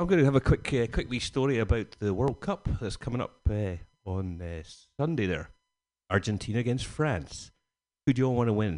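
A medium-pitched man in a Scottish accent, fairly quick pace, lively intonation, long and frequent pauses, quiet background. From Scotland, Glasgow area. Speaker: stand-up comedian. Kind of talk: stand-up.

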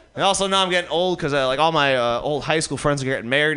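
Speaking at a very fast pace, a man has a fairly high pitch and a bright, sharp tone. His pitch varies an ordinary amount, and room echo is audible. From Detroit, US Midwest. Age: 30s. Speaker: stand-up comedian. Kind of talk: stand-up. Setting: stage with audience.

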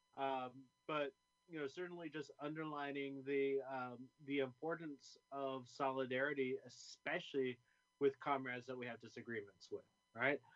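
A plain, everyday voice comes from a man with an American accent and fairly high pitch. He keeps a moderate pace and fairly even intonation. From California, Bay Area. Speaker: community organizer and college teacher. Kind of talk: interview.

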